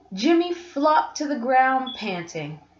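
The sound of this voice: A woman speaks slowly at a high pitch with big pitch swings. Audible room echo surrounds her voice.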